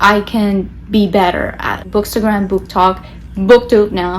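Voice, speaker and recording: Against noticeable background noise, a woman of medium pitch speaks with a Spanish accent. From Latin America. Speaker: book vlogger. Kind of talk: casual vlog talk to camera.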